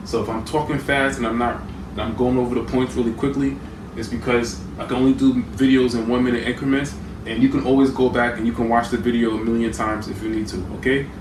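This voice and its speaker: Amid noticeable background noise and audible room echo, the words rush out very fast. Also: man, medium pitch for a man. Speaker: conspiracy video creator. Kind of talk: lecture.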